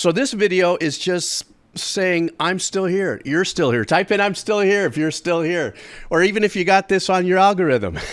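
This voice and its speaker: In a relaxed tone, a high-pitched man speaks at a moderate pace with ordinary pitch variation. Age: 60s. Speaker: music reaction youtuber and composer. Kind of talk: casual vlog monologue. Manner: relaxed, halting with repeats.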